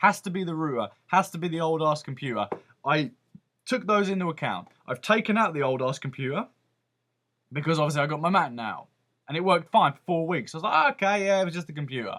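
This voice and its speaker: With a British accent, the speaker talks at a very fast pace in a bright, sharp, animated tone with lively intonation, on a very clean recording with a silent background. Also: man, fairly high pitch for a man. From Britain. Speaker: vlogger. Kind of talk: rant.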